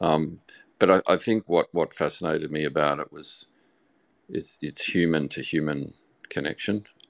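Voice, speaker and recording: Moderate-paced speech from a man with an Australian accent, long, frequent pauses, big swings in loudness, dry, close sound with no echo, and a very clean recording with a silent background. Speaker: audience participant. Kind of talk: live audio chat.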